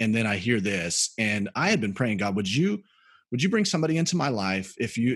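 A man with an American accent, a normal speaking voice, fairly low pitch and a fairly quick pace, against a quiet background. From US South, Birmingham, Alabama. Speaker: pastor. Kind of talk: interview testimony.

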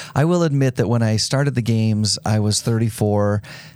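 With a dark, mellow tone, a man talks at a fairly quick pace in a fairly low pitch with ordinary pitch variation. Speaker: sports event executive. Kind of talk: interview. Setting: studio.

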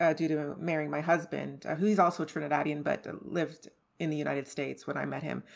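In a very clean recording over a silent background, a woman talks at a very fast pace. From Montreal suburbs, Canada (born Trinidad). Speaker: personal finance guest. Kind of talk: casual interview conversation.

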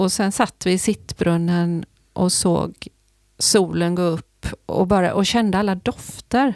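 Speaking at a very slow pace, the woman keeps her loudness very even and her intonation fairly even. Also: medium pitch for a woman. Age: 60s. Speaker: sailor and psychologist. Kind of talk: casual interview.

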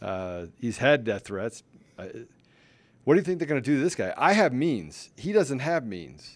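Marked by vocal fry, the voice swings very widely in pitch and greatly in loudness at a moderate pace, in a very clean recording with a silent background. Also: man, medium pitch for a man. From Washington, D.C. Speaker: podcast host. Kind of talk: casual chat.

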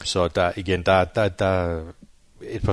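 A man's very deep, low voice in monotone, flat intonation over a quiet background. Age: 40s. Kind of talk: interview. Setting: on location at training centre.

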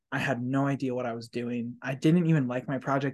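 A man with an ordinary speaking voice at a medium pitch. His intonation stays fairly even against a quiet background. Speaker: podcast host and community college instructor. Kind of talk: casual chat. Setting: office, construction noise nearby. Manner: warm, effusive.

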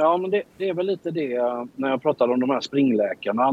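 This man has an ordinary speaking voice, fairly high in pitch, with lively intonation at a moderate pace. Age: 50s. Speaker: entrepreneur. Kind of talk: interview.

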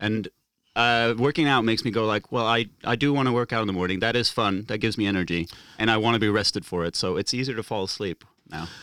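Speaking at a very fast pace, a man with a bright, sharp tone keeps a medium pitch and ordinary pitch variation on a very clean recording with a silent background. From Norway. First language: Norwegian. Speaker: stand-up comic. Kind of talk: casual chat.

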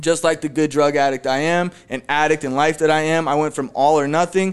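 In an unremarkable speaking voice, a man talks at a moderate pace with a fairly high pitch and fairly even intonation. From Phoenix, Arizona. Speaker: recovering addict and real estate agent. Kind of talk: testimony. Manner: casual, many fillers.

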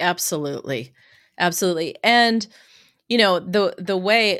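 Very clean with a silent background, the recording captures a woman at medium pitch and a moderate pace with a plain, everyday voice. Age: 50s. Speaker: hypnotherapist. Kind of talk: interview.

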